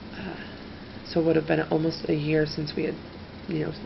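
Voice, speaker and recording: A woman with a very deep, low pitch talks at a fairly quick pace over noticeable background noise. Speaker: ASMR creator. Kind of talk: ASMR storytelling to camera. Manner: normal talking voice, not whispered.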